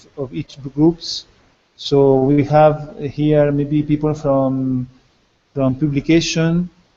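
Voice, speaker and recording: This man has a fairly high pitch and a dark, mellow tone. He talks at a very slow pace with monotone, flat intonation. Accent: non-native. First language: not English. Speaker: meeting moderator. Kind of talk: meeting moderation.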